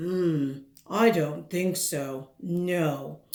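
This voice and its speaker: Middle-pitched, a put-on character voice. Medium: read story. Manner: curt, dismissive.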